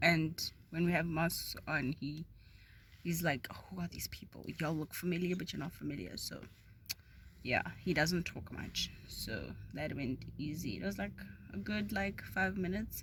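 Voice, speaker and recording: A woman with a very deep, low pitch and vocal fry talks at a moderate pace, her voice making very wide pitch swings. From South Africa. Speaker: vlogger. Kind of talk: casual talk to camera.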